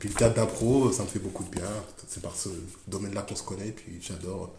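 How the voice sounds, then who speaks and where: There is audible room echo around a man whose voice sits at a fairly low pitch. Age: 30s. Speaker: school librarian teacher. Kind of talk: interview. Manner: halting; enthusiastic.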